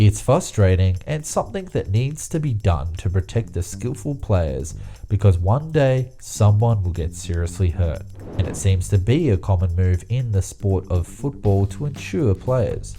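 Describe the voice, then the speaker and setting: A man's fairly low voice at a fairly slow pace, with lively intonation and music in the background. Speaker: YouTube narrator. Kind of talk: explainer video narration.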